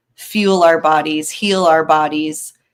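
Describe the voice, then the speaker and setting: This woman has a plain, everyday voice with an American accent. She talks at a fairly slow pace with fairly even intonation. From California. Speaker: daughter-in-law guest sharing her experience. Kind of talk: casual chat.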